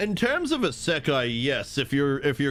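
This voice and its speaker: With music in the background, a man speaks in an American accent. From New Zealand. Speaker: streamer playing video games. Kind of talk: casual live-stream chat. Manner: halting, many fillers and restarts.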